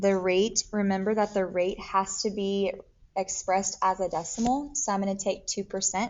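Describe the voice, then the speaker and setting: Here a woman talks at a moderate pace in a normal speaking voice. Her medium pitch carries fairly even intonation. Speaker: math teacher. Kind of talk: tutorial.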